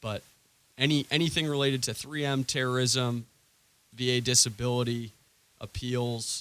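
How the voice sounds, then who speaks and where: With an American accent, a man of medium pitch speaks at a moderate pace in fairly even intonation, leaving long, frequent pauses. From Maine, US. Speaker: lawyer. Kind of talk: radio interview. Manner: halting, many fillers.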